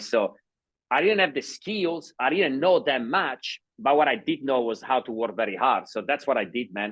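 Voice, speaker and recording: Speaking with a non-native accent, a man at a medium pitch moves through very wide pitch swings at a moderate pace. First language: not English. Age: 30s. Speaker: sales entrepreneur. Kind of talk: interview.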